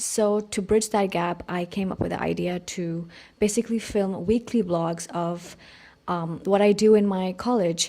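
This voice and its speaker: With a Pakistani accent, the speaker talks at a fairly slow pace. The tone is dark and mellow, and the intonation fairly even. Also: woman, medium pitch for a woman. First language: Urdu. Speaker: art student vlogger. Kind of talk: casual vlog narration.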